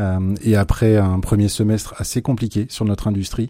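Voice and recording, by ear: At a moderate pace, a man talks in a fairly low pitch with a dark, mellow tone and little pitch movement.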